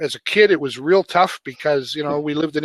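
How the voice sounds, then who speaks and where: A man's fairly high voice at a very fast pace, with a dry, close sound and no echo. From Canada. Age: 60s. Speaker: author and web coach. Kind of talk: interview conversation.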